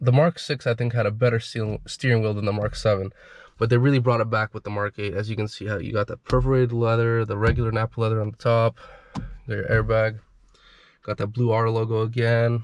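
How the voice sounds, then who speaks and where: A man's medium-pitched voice at a very fast pace, with monotone, flat intonation and a dry, close sound with no echo. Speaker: car enthusiast owner. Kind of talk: casual car review to camera. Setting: in car.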